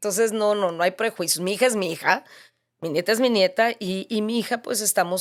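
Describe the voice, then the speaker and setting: In a very clean recording with a silent background, a woman with an ordinary speaking voice talks at a moderate pace with ordinary pitch variation. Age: 60s. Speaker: author sharing faith testimony. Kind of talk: interview testimony.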